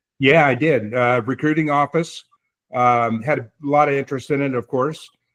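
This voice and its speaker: With an American accent and an unremarkable speaking voice, a man talks at a moderate pace in a fairly high pitch with fairly even intonation, recorded dry and close with no echo. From southwest Michigan. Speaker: army veteran. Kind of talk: casual interview.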